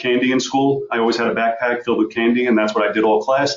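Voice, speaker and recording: A man with an American accent talks at a very fast pace. His medium-pitched voice is monotone, with flat intonation. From New York, Long Island. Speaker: real estate investor. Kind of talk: webinar presentation.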